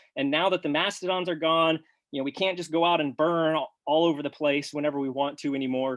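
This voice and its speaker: At a very fast pace, a man talks with a fairly high pitch. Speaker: farmer and grazing researcher. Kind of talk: webinar presentation. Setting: live webinar. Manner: animated.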